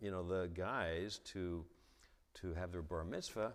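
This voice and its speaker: A man speaks with vocal fry at a very deep, low pitch. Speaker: theologian and author. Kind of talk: lecture. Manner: halting, repeated syllables.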